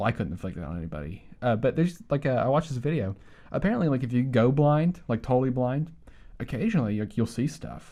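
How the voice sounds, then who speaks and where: The speech comes out very fast as mumbling in a dark, mellow tone with very wide pitch swings. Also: man, medium pitch for a man. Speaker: podcast co-host. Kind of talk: casual chat. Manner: halting.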